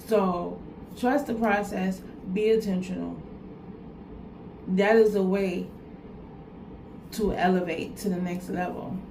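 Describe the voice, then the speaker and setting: There is noticeable background noise and audible room echo in this clip. A woman of medium pitch speaks with fairly even intonation and long, frequent pauses. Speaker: vlogger giving life advice. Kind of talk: motivational talk to camera. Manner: repetitive, earnest.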